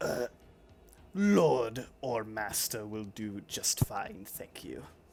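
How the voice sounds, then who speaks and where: Putting on a character voice at medium pitch, a man speaks very slowly. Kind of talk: grand courtly oration. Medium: actual play. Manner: pompous, theatrical.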